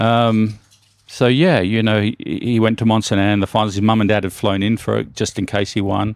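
This voice has an Australian accent and a moderate pace. The intonation stays fairly even. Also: man, fairly low pitch for a man. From Australia, northern Sydney. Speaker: mountain bike team manager. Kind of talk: interview.

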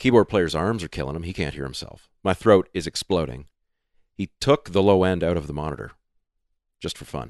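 With a Canadian accent, a man speaks at a fairly quick pace in a very deep, low voice with vocal fry, lively intonation and big swings in loudness, recorded dry and close with no echo against a quiet background. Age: 40s. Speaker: singer and musician. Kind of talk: casual interview chat.

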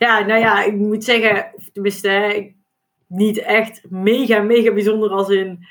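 In a Brabant accent, a woman with a fairly high pitch speaks at a very slow pace in a monotone, flat intonation with very even loudness. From Brabant, Netherlands. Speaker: duathlon world champion and accountant. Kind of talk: podcast interview.

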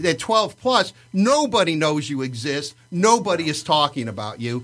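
Speaking at a fairly slow pace with an American accent, this voice has a bright, sharp tone and very wide pitch swings. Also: man. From Livonia, Michigan. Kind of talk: casual chat. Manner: talkative, rambling storyteller.

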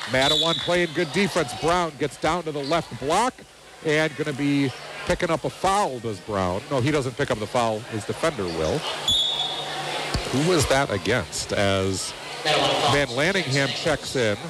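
Over noticeable background noise, a man speaks at a fairly slow pace with a fairly high pitch and very wide pitch swings. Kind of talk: live radio play-by-play basketball commentary. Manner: lifts in excitement on made shots, then settles back into an even, informative tone.

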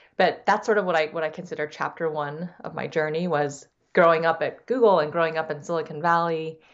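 This woman has an ordinary speaking voice with an American accent. Her pitch is fairly low and her pace fairly quick. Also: fairly even intonation. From San Diego, California (US West Coast). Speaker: venture capital investor and entrepreneur. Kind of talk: interview.

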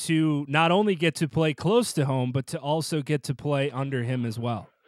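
On a very clean recording with a silent background, a man with a fairly high pitch and an ordinary speaking voice talks at a moderate pace. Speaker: sports podcast host. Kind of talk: radio show hosting and interview.

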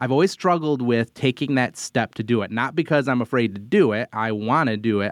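In an unremarkable speaking voice, a man talks at medium pitch and a moderate pace over a quiet background. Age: 40s. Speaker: podcast host. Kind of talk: casual chat.

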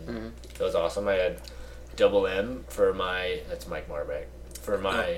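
Noticeable noise runs in the background. Over it, a man speaks fairly quickly. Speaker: improv performer, podcast guest. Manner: monotone.

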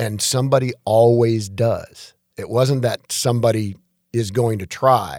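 A man speaks with an American accent in a normal speaking voice. His pitch is medium and his intonation fairly even. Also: fairly slow pace. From Detroit, Michigan (US Midwest). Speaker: chiropractor. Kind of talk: casual interview.

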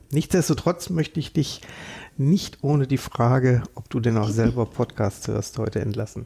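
The man's tone is dark and mellow. A somewhat breathy quality runs through it. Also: medium pitch for a man, ordinary pitch variation, moderate pace. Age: 40s. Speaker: podcast host, bank employee. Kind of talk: podcast interview.

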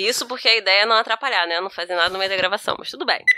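Music plays behind a woman with a medium pitch. She talks at a very fast pace. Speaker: podcast co-host. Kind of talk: casual chat. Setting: video call.

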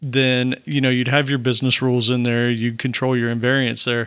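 A man with a Southern US accent, medium pitch, a bright, sharp tone, fairly even intonation and a fairly quick pace. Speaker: software developer podcast co-host. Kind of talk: casual technical discussion.

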